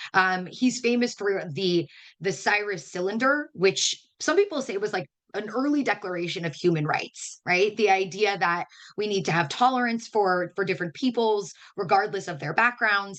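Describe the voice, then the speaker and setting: Lively intonation from a woman at medium pitch. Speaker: educator. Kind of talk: webinar lecture. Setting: online webinar. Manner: fast.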